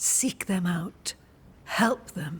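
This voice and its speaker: A put-on character voice, female-sounding, at a medium pitch for a woman. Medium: video game. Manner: calm, measured, cryptic.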